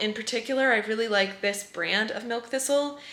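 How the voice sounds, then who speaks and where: Noticeable background noise behind speech of ordinary pitch variation. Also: woman. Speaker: eczema coach and vlogger. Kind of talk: casual vlog.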